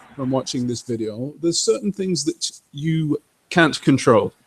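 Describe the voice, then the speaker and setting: A man speaks loudly. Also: dry, close sound with no echo. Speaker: gaming streamer. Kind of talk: live gameplay commentary. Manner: animated. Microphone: old game microphone, poor stereo mix audio.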